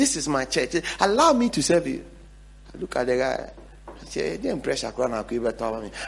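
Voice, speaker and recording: A man with a Ghanaian accent talks at a moderate pace, leaving long, frequent pauses. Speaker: pastor. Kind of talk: sermon with closing prayer. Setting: church. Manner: fervent, exhortative, urgent, repeating phrases.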